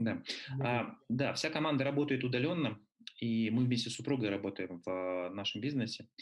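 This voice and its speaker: A man with an unremarkable speaking voice, medium pitch, ordinary pitch variation, a moderate pace and very even loudness. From Russia (Nalchik, then Moscow from 14). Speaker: book publisher and triathlon coach. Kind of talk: interview.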